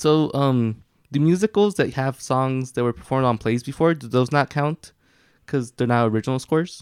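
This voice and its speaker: In a normal speaking voice, a man talks at a moderate pace and medium pitch with ordinary pitch variation, the sound dry and close with no echo. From Mexican-American family, US. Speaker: podcast co-host. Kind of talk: casual chat.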